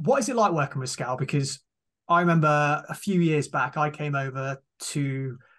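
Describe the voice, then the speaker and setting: Against a quiet background, a man speaks at a fairly high pitch with fairly even intonation. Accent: British. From Britain. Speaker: podcast host. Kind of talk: casual interview. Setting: video call.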